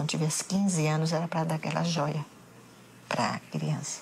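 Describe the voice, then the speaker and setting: Moderate pace over noticeable background noise. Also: woman. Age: 70s. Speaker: bereaved mother. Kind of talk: documentary interview testimony.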